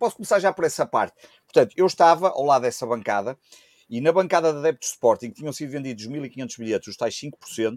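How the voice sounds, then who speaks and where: In a dry, close recording with no echo, a man talks very fast at a fairly high pitch, with lively intonation and big swings in loudness. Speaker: football podcast co-host. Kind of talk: casual chat.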